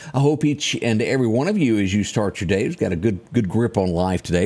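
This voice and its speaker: A man with a Southern US accent speaks at a fairly quick pace, his voice showing vocal fry and very wide pitch swings. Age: 50s. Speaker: radio/TV morning show host. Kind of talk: news and weather show chat.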